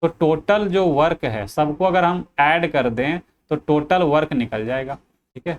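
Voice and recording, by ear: Speaking at a fairly slow pace, a man uses a fairly high pitch with ordinary pitch variation.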